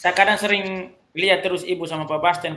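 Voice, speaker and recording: In a Flores accent, a man talks at a very fast pace with fairly even intonation. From Flores, Indonesia. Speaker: teacher. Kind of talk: casual chat.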